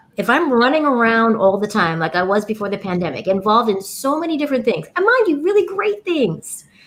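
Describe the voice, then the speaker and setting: This woman talks at a fairly quick pace, her fairly high voice making very wide pitch swings. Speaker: podcast founder, guest. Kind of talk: casual interview chat. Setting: live broadcast.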